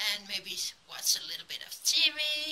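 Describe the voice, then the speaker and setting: Very wide pitch swings mark this woman's very slow speech. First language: Danish. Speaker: craft YouTuber. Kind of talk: casual craft tutorial vlog. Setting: at home. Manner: chatty, hesitant with fillers. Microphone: phone near.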